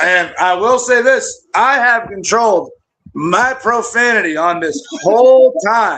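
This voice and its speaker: A man speaks at an extremely high pitch in a raised, projected voice with a bright, sharp tone. His pace is very slow, and his pitch variation is ordinary. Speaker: youth football coach. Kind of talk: casual chat. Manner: loud.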